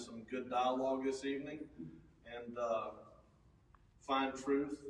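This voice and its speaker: A fairly slow, fairly even delivery in a Texas accent, with audible room echo. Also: man. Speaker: event organizer and moderator. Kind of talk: event introduction. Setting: funeral home meeting room with audience. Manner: loud.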